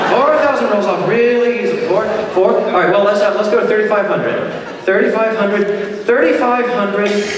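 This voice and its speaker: Delivered at a fairly quick pace with fairly even intonation, the speech carries strong room echo and noticeable background noise. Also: man, high pitch for a man. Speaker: charity auctioneer and pianist. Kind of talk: charity fundraising auction patter. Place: hall.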